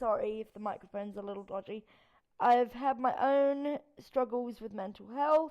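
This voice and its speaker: The woman's high pitch shows ordinary variation as she talks. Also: moderate pace. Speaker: tarot reader and spiritual vlogger. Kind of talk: unscripted rant. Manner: rambling with frequent ums.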